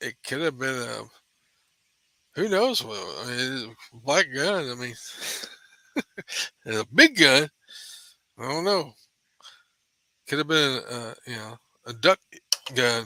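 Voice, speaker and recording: A man mumbles at a fairly slow pace with lively intonation, a bright, sharp tone and big swings in loudness. Long, frequent pauses break up his speech, and the sound is dry and close with no echo. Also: medium pitch for a man. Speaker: podcast co-host. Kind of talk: casual chat. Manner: mumbling.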